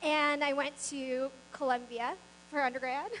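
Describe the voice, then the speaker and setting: A woman with a Mid-Atlantic accent speaks in a bright, sharp tone. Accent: American, Mid-Atlantic. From US East Coast, Maryland suburbs of Washington DC. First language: not English. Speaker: business founder, keynote speaker. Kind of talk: motivational speech.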